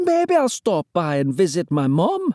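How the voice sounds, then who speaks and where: At a moderate pace, someone uses a put-on character voice at a middle pitch. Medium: read story.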